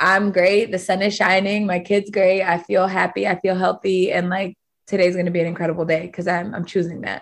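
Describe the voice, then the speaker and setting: A woman talks at a fairly quick pace in a normal speaking voice. Her pitch is medium and her intonation fairly even. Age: 30s. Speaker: fitness studio owner. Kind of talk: casual chat.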